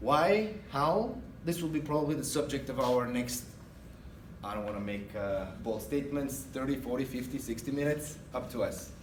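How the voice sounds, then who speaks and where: With an Eastern European accent, a man speaks at a moderate pace with a fairly high pitch and lively intonation, and the room echo is audible. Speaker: guest speaker, retail manager. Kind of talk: guest lecture. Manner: hesitant with many uh fillers.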